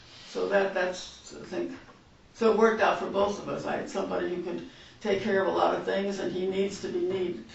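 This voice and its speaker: Through audible room echo and noticeable background noise, a woman talks at a fairly quick pace with ordinary pitch variation. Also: medium pitch for a woman. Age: 80s+. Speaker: murder-for-hire suspect. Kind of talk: police interrogation. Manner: halting.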